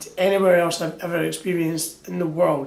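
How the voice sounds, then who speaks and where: With a Scottish accent and a high pitch, a man speaks at a moderate pace with ordinary pitch variation amid noticeable background noise. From Scotland. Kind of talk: casual talk to camera. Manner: upbeat, jokey.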